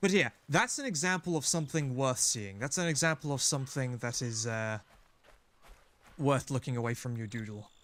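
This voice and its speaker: A man talks at medium pitch with lively intonation. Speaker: gaming streamer. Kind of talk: live gameplay commentary. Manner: fast; animated.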